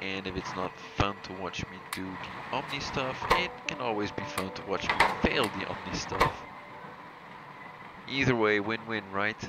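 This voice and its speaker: A man at a moderate pace and fairly low pitch, with fairly even intonation, long and frequent pauses, and noticeable background noise. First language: not English. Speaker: gaming video creator. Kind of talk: gameplay commentary. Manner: halting.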